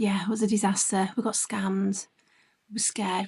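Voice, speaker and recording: A woman with a British accent speaks at a fairly quick pace with vocal fry. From UK. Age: 40s. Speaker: travel vlogger. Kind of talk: travel vlog narration. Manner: casual, chatty.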